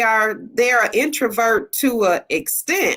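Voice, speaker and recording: A woman speaks in a bright, sharp tone. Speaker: panelist mother. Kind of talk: casual chat. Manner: loud.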